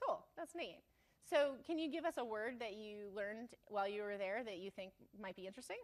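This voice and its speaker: This is a plain, everyday voice with an American accent. It moves at a fairly quick pace with lively intonation. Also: woman, fairly high pitch for a woman. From Maine, US. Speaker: show host. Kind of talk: casual interview.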